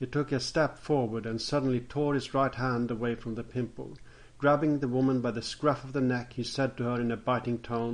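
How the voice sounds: Intonation stays fairly even as the speaker reads in a natural voice.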